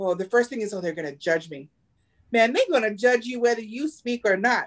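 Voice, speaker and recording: A woman speaks with a fairly high pitch. Her tone is animated. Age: 40s. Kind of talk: casual chat. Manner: animated, laughs often.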